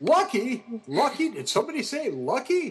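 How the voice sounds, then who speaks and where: Using a put-on character voice, a man pitches it extremely high. His speed stays moderate. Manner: playful.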